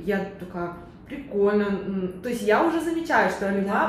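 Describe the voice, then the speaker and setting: Delivered at a moderate pace, the speech comes with noticeable background noise and audible room echo. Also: woman. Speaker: podcast co-host. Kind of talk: casual interview chat. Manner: animated.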